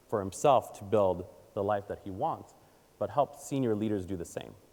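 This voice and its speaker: Speaking at a moderate pace, a man with a medium pitch uses an animated tone. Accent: Israeli. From Israel, then Baltimore, Maryland from age eight. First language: Hebrew. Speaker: communications advisor and conference speaker. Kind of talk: audience Q&A; keynote talk. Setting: stage with audience.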